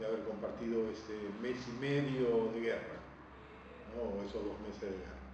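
With audible room echo and noticeable background noise, a man speaks at a moderate pace with ordinary pitch variation. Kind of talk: interview answer. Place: meeting room. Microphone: camera far.

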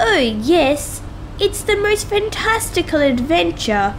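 A female-sounding put-on character voice, extremely high-pitched, speaks at a fairly slow pace over clear background noise. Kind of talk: refined, enthusiastic.

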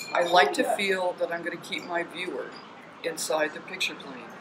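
A woman speaks with a fairly low pitch and ordinary pitch variation. Noticeable background noise can be heard. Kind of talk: interview answer.

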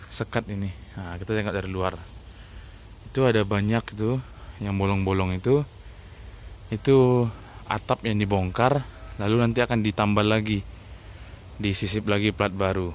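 A man's fairly low voice at a moderate pace with long, frequent pauses, in a dry sound with no echo and light background noise. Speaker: bus enthusiast vlogger. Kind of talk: casual walkaround commentary. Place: workshop. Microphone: phone near.

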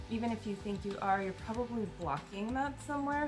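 There is clear music in the background while a woman talks. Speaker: card reader. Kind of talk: channeled card reading talk. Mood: calm, gentle. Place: home room. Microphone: phone near.

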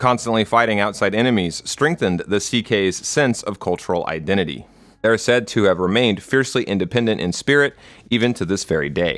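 A man with an ordinary speaking voice, fairly low in pitch, fairly quick, and lively in intonation, on a very clean recording with a silent background. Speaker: video essayist. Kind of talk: scripted narration.

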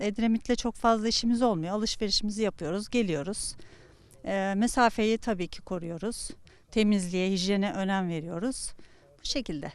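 A woman talks at a fairly high pitch against a quiet background. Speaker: retiree. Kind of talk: street interview. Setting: outdoors. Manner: halting.

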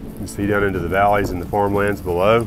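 Clear music plays behind a man with a fairly low pitch. His fairly even intonation comes through a dry sound with no echo. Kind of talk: casual vlog chat. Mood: awed, delighted. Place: open country. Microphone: phone near.

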